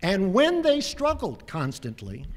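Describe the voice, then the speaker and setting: On a very clean recording with a silent background, a man speaks at a very slow pace with very wide pitch swings. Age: 70s. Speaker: lawyer and activist. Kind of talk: award acceptance speech. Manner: impassioned.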